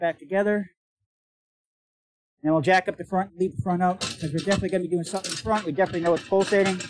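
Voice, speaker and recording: Loud and very fast, a man with a high voice and ordinary pitch variation still leaves long, frequent pauses. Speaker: auto mechanic video host. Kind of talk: live stream repair tutorial. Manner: loud, projecting voice. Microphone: voice sounds muffled, noise filter.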